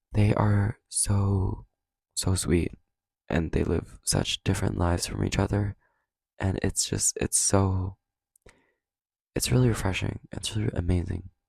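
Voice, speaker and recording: A very deep, low-pitched man, somewhat breathy, with fairly even intonation, a fairly slow pace and long, frequent pauses, in a very clean recording with a silent background and a dry, close sound with no echo. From Canada. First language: Cantonese. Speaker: podcast host. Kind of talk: casual monologue. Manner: casual, filler-heavy.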